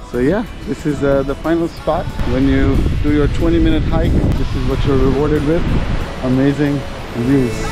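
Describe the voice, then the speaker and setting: Clear music plays behind a man speaking at a moderate pace. His voice sounds dry, with no echo. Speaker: travel vlogger. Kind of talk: casual vlog chat. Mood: relaxed, enthusiastic. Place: open country. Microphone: phone near.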